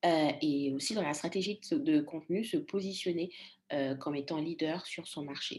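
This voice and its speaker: A woman talks at a moderate pace in a plain, everyday voice. Her pitch is fairly low, and her intonation is lively. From Congo. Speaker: storytelling coach. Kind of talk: interview.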